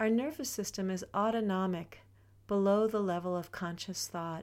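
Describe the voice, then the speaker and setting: A woman's fairly slow speech, an ordinary speaking voice, on a very clean recording with a silent background. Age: 60s. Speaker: podcast host and wellness teacher. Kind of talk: personal reflective monologue.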